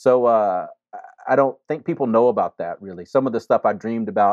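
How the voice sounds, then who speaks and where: Here a man talks with a Mississippi accent and ordinary pitch variation. The sound is dry and close with no echo, over a quiet background. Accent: Mississippi Southern US. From US South, Jackson, Mississippi. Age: 50s. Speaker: imam and chaplain. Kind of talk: interview conversation. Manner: halting, frequent repetitions.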